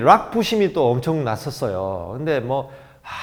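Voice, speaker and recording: A man at a moderate pace with very wide pitch swings. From South Korea, Gyeongnam (Jinju). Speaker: DJ and motivational speaker. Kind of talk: motivational lecture.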